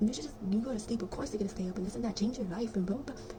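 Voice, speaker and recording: A woman whispers over noticeable background noise. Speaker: spiritual content creator. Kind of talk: casual vlog monologue. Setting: bedroom at night. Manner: whispering.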